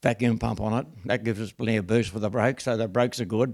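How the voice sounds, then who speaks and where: A man's medium-pitched voice with an Australian accent, at a fairly quick pace. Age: 90s. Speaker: car restorer. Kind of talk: casual chat. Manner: halting.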